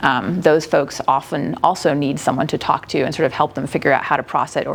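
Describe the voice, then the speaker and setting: This is a woman speaking at a fairly quick pace. Her intonation stays fairly even. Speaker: newspaper editor giving conference talk. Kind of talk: conference presentation. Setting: conference room with audience. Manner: fast.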